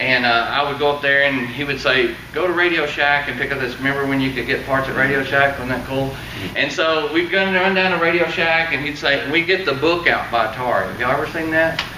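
Amid light background noise and audible room echo, a man talks at a very fast pace with hardly any pauses and ordinary pitch variation. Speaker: presenter. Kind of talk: seminar talk to audience. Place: meeting room. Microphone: camera far.

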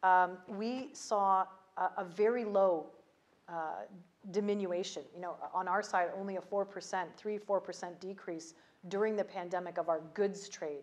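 A woman with a Canadian accent speaks at a fairly slow pace, her medium pitch held in a fairly even intonation. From Canada. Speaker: ambassador; interviewee. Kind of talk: interview. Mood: calm, measured, some laughing. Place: home room. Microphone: lapel.

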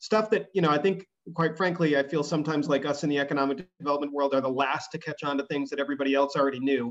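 A man at a very fast pace with hardly any pauses, over a quiet background. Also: fairly high pitch for a man, fairly even intonation. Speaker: economic development official. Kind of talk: presentation. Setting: video call. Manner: fast talker. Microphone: video call.

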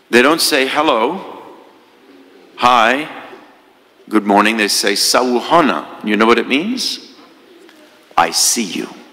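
A man talks very slowly, leaving long, frequent pauses, with noticeable background noise behind him. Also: medium pitch for a man, lively intonation. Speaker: priest giving homily. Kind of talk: homily, sermon. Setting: church. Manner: storytelling, earnest, conversational.

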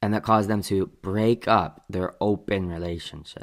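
A man talks fairly slowly in a fairly low voice. The background is quiet. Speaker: reaction commentator. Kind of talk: commentary. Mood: mocking, skeptical. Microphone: studio mic.

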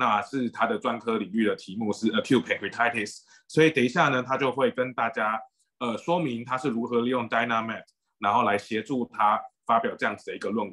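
Speaking at a fairly quick pace, a man uses a bright, sharp tone with ordinary pitch variation over a quiet background. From Taiwan. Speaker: doctor and moderator; moderator. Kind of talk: webinar moderation. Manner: hesitant. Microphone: video call.

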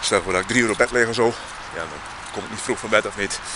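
Fairly quick speech from a man, with noticeable noise behind him. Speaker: vlogger. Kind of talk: casual vlog monologue. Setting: outdoors. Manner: halting, rambling.

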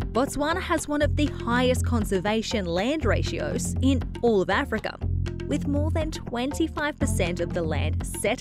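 A woman with an Australian accent, music in the background. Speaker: TV host. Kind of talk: travel show presenting to camera.

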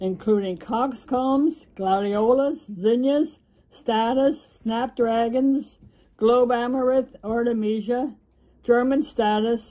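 A woman with an American accent, her fairly high pitch carrying a dark, mellow tone, at a very slow pace. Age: 80s+. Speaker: flower gardener. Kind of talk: garden tour talk to camera.

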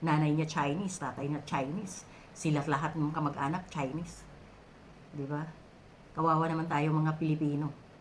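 A woman speaks in a very deep, low pitch with monotone, flat intonation. Her moderate pace carries audible room echo. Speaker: overseas worker vlogger. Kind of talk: opinion vlog monologue. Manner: halting, many filler sounds.

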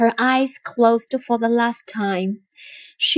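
Against a quiet background, this is plain reading aloud.

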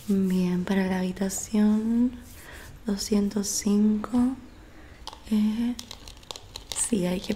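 Soft-spoken and medium-pitched, a woman talks very slowly with fairly even intonation and long, frequent pauses over light background noise. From Argentina. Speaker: ASMR creator. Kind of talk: ASMR role-play. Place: home room. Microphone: studio mic.

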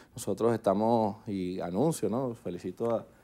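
This man's voice has a dark, mellow tone. His pitch sits in the medium range. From Venezuela. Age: 30s. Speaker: politician. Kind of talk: TV news interview. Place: studio. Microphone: lapel.

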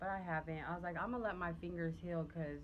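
A woman's fairly low voice with fairly even intonation over light background noise. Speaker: family vlogger. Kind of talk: casual vlog chat to camera. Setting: outdoors on porch, filming on phone. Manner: casual, chatty. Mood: relaxed, chatty. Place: home room. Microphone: phone near.

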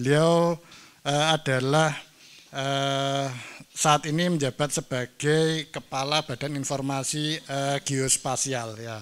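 Very slowly, a man speaks at a fairly high pitch with monotone, flat intonation. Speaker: seminar moderator, lecturer. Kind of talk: moderating a seminar. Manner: hesitant, many fillers. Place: hall. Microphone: handheld.

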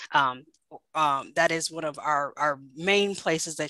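A woman's very deep, low voice, bright and sharp in tone, dry with no echo, over a quiet background. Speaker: government contracting director; presenter. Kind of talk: webinar presentation. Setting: video call. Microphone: video call.

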